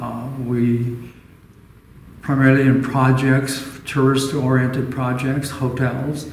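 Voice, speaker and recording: A man talks at a fairly slow pace in a medium pitch. His intonation is monotone and flat, and the room has an audible echo. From Southern California (Orange County). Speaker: retired architect. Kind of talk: oral history interview. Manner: halting, many fillers.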